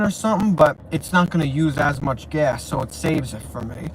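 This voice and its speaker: The speaker has a New York accent and ordinary pitch variation. There is noticeable background noise. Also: man. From New York, Brooklyn. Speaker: YouTuber. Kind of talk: casual livestream chat. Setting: sitting in parked car. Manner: rambling, repetitive, halting.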